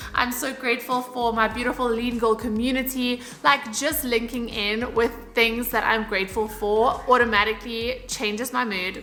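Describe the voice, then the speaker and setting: A fairly high-pitched, animated woman's voice at a moderate pace, with noticeable background noise. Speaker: fitness and lifestyle YouTuber. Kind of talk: casual vlog talk to camera. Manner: chatty, animated.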